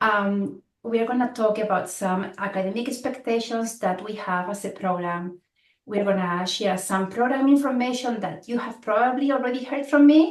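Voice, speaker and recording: A woman speaks at a moderate pace in a Spanish accent, her fairly high voice showing ordinary pitch variation. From Spain. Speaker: program director. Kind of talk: orientation presentation.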